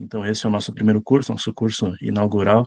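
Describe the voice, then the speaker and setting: This man has a dark, mellow tone and talks at a moderate pace. The sound is dry and close, with no echo. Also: quiet background. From southern Brazil, Rio Grande do Sul (São Sepé). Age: 20s. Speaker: lecturer and leader of a monarchist movement. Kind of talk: online lecture. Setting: video call. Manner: hesitant, frequent filler sounds.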